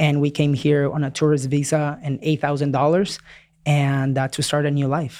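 In a Spanish accent, the speaker comes through on a very clean recording with a silent background. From Peru, moved to Florida at 9. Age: 30s. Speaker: real estate investor. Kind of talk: interview conversation. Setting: in person studio.

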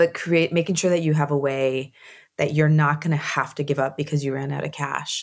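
Speaking with an American accent at a fairly quick pace, a woman keeps a monotone, flat intonation at a very deep, low pitch. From US Southwest, Arizona. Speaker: tech event executive. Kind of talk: interview.

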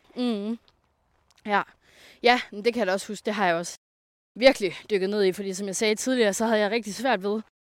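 A woman speaks at a medium pitch and a fairly quick pace, with ordinary pitch variation. The sound is dry and close, with no echo. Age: 20s. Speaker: self-employed coach. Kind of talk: casual interview. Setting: outdoors on a walk.

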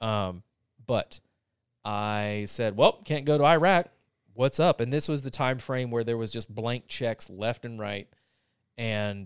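At a fairly slow pace with long, frequent pauses, a man with an American accent speaks at medium pitch with ordinary variation in a very clean recording with a silent background. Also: dry, close sound with no echo. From US South, North Carolina. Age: 30s. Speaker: military veteran. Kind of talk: casual chat.

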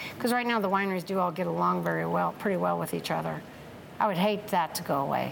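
A woman is speaking. The room echo is audible. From California, Tracy. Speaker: winery owner. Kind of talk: oral history interview. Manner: animated.

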